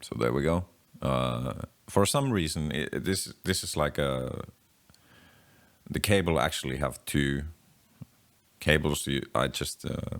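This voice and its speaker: A man talks at a very deep, low pitch with vocal fry, ordinary pitch variation and a fairly slow pace. He leaves long, frequent pauses on a very clean recording with a silent background. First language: not English. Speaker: DIY guitar pedal builder. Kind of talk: casual tutorial while working. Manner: halting.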